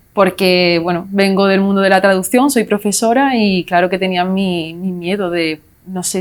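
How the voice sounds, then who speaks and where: The pitch variation is ordinary. The pace is fairly slow. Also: woman. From Spain, Málaga (Andalusia). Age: 20s. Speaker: language teacher, successful exam candidate. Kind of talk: interview. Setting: studio.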